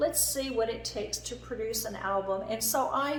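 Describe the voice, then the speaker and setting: Against noticeable background noise and audible room echo, a woman speaks with an American accent at a fairly high pitch. Her pace is moderate and her pitch variation ordinary. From Germany, then US from age 14. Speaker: entrepreneur, company founder. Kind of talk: personal presentation / backstory talk. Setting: presenting from laptop slides.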